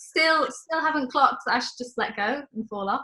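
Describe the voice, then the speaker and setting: A woman's raised, projected voice, bright and sharp in tone, at a fairly quick pace with ordinary pitch variation. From England, Stoke-on-Trent. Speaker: church member, show guest. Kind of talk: anecdote in casual chat.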